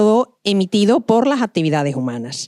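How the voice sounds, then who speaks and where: A woman with an Andalusian accent speaks at a fairly quick pace in a very clean recording with a silent background and a dry, close sound with no echo. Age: 50s. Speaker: marine scientist. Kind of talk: lecture.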